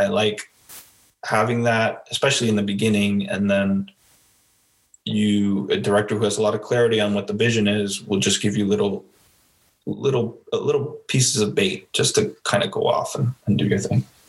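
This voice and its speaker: Here a man talks at a moderate pace. His loudness stays very even. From Miami, Florida. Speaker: actor. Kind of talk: interview.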